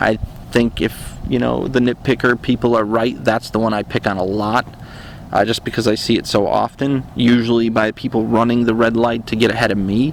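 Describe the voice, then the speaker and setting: Over noticeable background noise, a man with an American accent speaks at a medium pitch in a monotone, flat delivery. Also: moderate pace. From central upstate New York. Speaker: dashcam YouTuber. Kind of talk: Q&A monologue.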